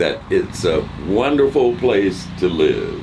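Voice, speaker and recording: Background noise is noticeable while a man speaks. The room echo is audible too. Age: 70s. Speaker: retired resident, interviewee. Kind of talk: casual interview. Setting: at their home. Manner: formal, articulate.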